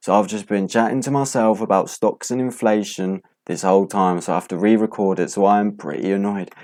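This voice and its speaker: Recorded very cleanly against a silent background, a man with a British accent talks at a fairly quick pace with ordinary pitch variation. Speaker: stock market youtuber. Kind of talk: casual market recap. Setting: home, late at night.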